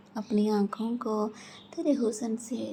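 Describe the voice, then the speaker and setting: A woman speaks at a fairly high pitch in an ordinary speaking voice. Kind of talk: poetry reading. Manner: emotional, romantic.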